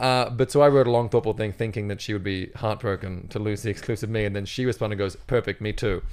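A man's fairly low-pitched voice at a very fast pace with hardly any pauses, in a very clean recording with a silent background. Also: fairly even intonation. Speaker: comedian. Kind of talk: casual chat. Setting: studio.

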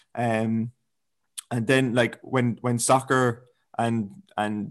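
With an Irish accent and fairly even intonation, a man talks at a very slow pace and medium pitch against a quiet background. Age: 20s. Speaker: fitness coach. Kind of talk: casual chat.

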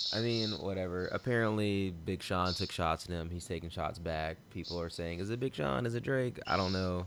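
This very clean recording with a silent background has ordinary pitch variation and hardly any pauses. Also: man, very deep, low pitch for a man, moderate pace. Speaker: podcast host. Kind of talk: casual chat.

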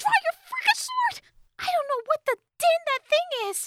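A woman puts on a character voice at an extremely high pitch, with big pitch swings and a bright, sharp tone. Her moderate pace comes through a dry, close sound with no echo.

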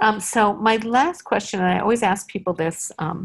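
Ordinary pitch variation with vocal fry. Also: woman. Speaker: podcast host and company founder. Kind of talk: casual interview.

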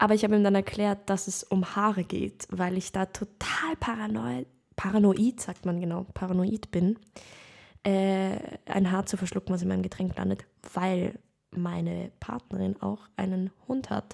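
A woman speaks at a fairly slow pace in a medium pitch, with ordinary pitch variation. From Lower Austria. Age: 20s. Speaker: actress, podcast co-host. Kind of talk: casual chat.

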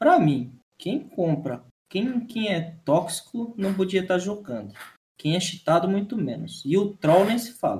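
A man speaks at a fairly slow pace, his pitch high for a man. His intonation is lively. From Santa Catarina, southern Brazil. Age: 20s. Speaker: streamer and esports journalist. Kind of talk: casual chat. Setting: live stream.

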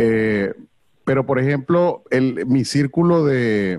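A man speaks at a very slow pace. His medium-pitched voice has lively intonation. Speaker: comedy event host. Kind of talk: casual chat.

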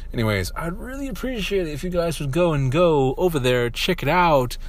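A man talks while noticeable background noise goes on. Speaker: streamer and podcaster. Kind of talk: casual solo podcast chat. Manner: casual, rambling, halting.

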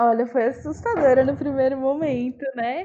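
A woman speaks with a high pitch and a dark, mellow tone. Her intonation stays fairly even. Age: 20s. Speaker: customer service supervisor. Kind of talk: interview, personal story.

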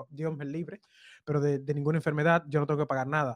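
A man with a fairly high pitch. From Dominican Republic (Cibao). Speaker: web developer and content creator. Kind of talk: casual chat.

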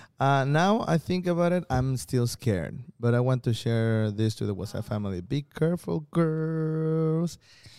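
A man's dark, mellow voice with a Spanish accent, hardly any pauses, on a very clean recording with a silent background. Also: medium pitch for a man, lively intonation, moderate pace. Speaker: stand-up comedian and podcast co-host. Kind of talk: casual chat. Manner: halting.

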